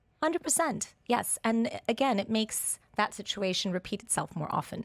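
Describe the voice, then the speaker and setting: At a moderate pace, a woman with a fairly high pitch speaks with lively intonation on a very clean recording with a silent background. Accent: American. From Portugal. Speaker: nutrition expert and family coach. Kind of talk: radio interview. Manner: hesitant, with fillers.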